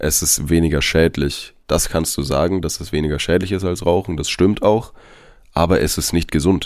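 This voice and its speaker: This man's voice is very deep and low, with ordinary pitch variation at a moderate pace. The recording is very clean, with a silent background. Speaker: health and fitness podcast host. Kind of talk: casual chat.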